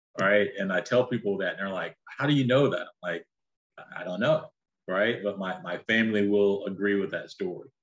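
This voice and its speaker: A man with a North Carolina accent talks at a fairly quick pace, his fairly low voice showing ordinary pitch variation. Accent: Southern US (North Carolina). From North Carolina (Shelby, near Charlotte). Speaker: businessman and entrepreneur. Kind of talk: interview conversation.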